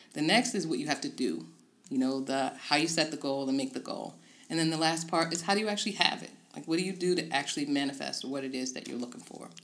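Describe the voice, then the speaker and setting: Talking at a very fast pace, a woman with an American accent has a very deep, low voice, ordinary pitch variation and big swings in loudness. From Tidewater Virginia. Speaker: life coach. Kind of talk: interview. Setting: office.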